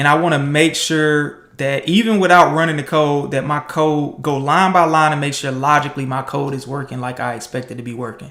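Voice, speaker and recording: With a plain, everyday voice, a man talks at a fairly high pitch and moderate pace, his pitch varying in an ordinary way. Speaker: programmer streaming coding challenges. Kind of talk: live coding tutorial. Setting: livestream. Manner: casual, with fillers.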